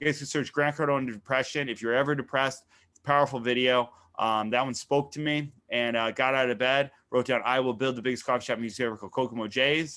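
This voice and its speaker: Talking at a very fast pace, a man of medium pitch with an American accent keeps a fairly even intonation. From Connecticut. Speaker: entrepreneur and marketing coach. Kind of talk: interview testimony.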